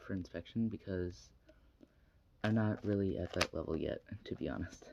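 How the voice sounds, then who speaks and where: A man talks at a fairly slow pace. His pitch is fairly low and his intonation fairly even. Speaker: hobbyist cuber. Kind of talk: tutorial. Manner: trails off quietly at times; casual, halting.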